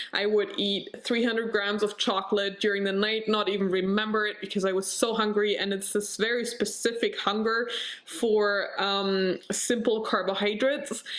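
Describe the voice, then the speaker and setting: A woman with a medium-pitched voice talks at a moderate pace with hardly any pauses, her intonation monotone and flat over noticeable background noise. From Germany. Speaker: vlogger. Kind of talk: personal vlog. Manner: halting, searching for words.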